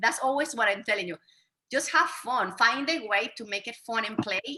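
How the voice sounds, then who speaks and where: The voice has a bright, sharp tone and an energetic delivery, with lively intonation and big swings in loudness. The pace is moderate. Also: woman, fairly high pitch for a woman. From Venezuela. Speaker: fitness trainer. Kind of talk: interview.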